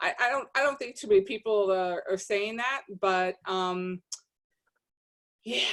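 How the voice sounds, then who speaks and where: At a fairly slow pace with long, frequent pauses, a woman with a New Jersey accent speaks at a fairly high pitch with ordinary variation. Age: 50s. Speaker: podcast guest, social media page founder. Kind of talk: casual chat.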